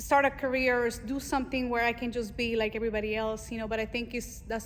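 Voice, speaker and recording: With a Spanish accent, a woman speaks very fast at a fairly high pitch in a monotone, flat intonation. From Mexico. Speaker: Navy veteran and fashion designer. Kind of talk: interview. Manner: casual, with many fillers.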